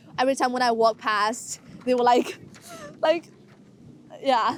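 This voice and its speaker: A woman with a Chinese accent speaks at a moderate pace in a high voice. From China. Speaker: college student. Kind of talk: documentary interview.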